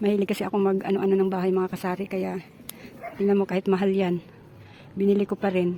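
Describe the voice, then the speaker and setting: Over noticeable background noise, a woman talks at a very fast pace with a medium pitch and monotone, flat intonation, leaving long, frequent pauses. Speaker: vlogger. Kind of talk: casual vlog narration. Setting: outdoors.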